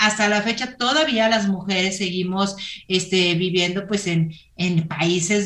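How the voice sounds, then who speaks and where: A fairly low-pitched woman's voice at a fairly slow pace, fairly even in intonation, with audible room echo. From Mexico, Torreón, Coahuila. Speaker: entrepreneur and running platform founder. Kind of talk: interview.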